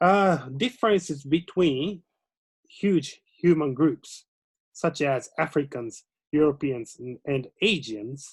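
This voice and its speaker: Very slow and somewhat breathy, a man with a Japanese accent talks in a fairly high voice with lively intonation on a very clean recording with a silent background. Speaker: lecturer. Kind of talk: casual conversation. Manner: halting.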